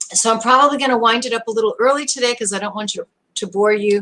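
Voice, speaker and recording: With an American accent, a woman speaks at a fairly high pitch in a bright, sharp tone. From US Northeast (Brooklyn, New York). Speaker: online show host. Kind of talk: live stream talk.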